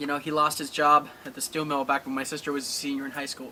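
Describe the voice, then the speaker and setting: With noticeable background noise behind him, a man talks very fast in a flat, monotone delivery at a fairly high pitch. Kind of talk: paranormal investigation, emotional personal talk.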